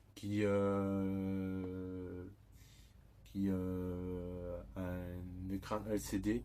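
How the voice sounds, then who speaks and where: Very deep and low in pitch, this man's voice has a dark, mellow tone. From southern France, Toulouse. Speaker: YouTuber. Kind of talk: product unboxing. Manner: hesitant, many fillers.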